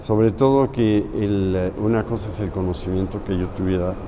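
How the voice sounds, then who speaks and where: With audible room echo and noticeable background noise, a man speaks at a fairly slow pace in a fairly low pitch with ordinary pitch variation. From Mexico. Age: 70s. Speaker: muralist painter. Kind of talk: interview.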